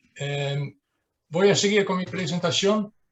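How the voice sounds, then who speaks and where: A man speaks with a Dutch accent. His pitch varies in an ordinary way. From southern Netherlands. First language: Dutch (speaking Spanish). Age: 60s. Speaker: dredging engineer. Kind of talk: presentation. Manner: halting, many fillers.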